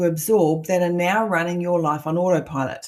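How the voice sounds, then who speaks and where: A woman speaks at a moderate pace in a dark, mellow tone that is somewhat breathy. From New Zealand. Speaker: coach. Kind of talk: online masterclass. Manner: conversational.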